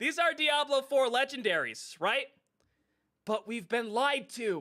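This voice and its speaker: At a fairly slow pace, a man speaks in a raised, projected voice with an extremely high pitch, a bright, sharp tone and lively intonation. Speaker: gaming streamer. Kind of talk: live stream commentary. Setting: live stream. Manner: loud; animated.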